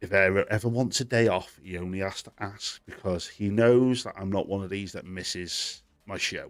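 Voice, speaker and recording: A man with a British accent talks at a moderate pace, his pitch fairly low and his intonation fairly even. The recording is very clean, with a silent background. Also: hardly any pauses, big swings in loudness. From Britain. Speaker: gaming news show host. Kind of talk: live stream chat. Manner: casual, conversational.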